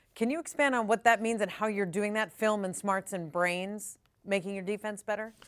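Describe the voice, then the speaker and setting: A woman talks in an ordinary speaking voice at a medium pitch. She keeps a moderate pace and ordinary pitch variation. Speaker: sports podcast host. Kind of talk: casual interview. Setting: video call.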